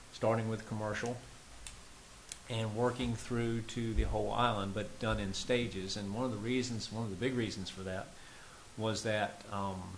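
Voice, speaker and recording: In an American accent, a man talks at a moderate pace with a fairly low pitch and fairly even intonation. Audible room echo and noticeable background noise fill the recording. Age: 60s. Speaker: local government official. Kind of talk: public meeting remarks. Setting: town planning commission meeting. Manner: halting with fillers.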